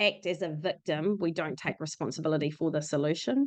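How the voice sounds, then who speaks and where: A woman with a New Zealand accent and ordinary pitch variation. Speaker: podcast host. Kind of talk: podcast interview.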